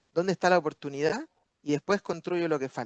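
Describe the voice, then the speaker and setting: Animated in tone, a man with a high pitch speaks at a fairly quick pace with ordinary pitch variation. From Chile. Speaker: business speaker at webinar. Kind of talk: webinar talk answering questions.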